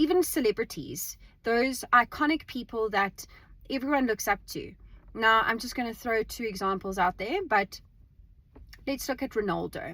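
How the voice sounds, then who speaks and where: Loud and bright with a sharp tone, the voice carries lively intonation on a very clean recording with a silent background. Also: woman, fairly high pitch for a woman, moderate pace. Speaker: vlogger. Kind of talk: casual monologue. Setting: in a car. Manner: halting repetitions.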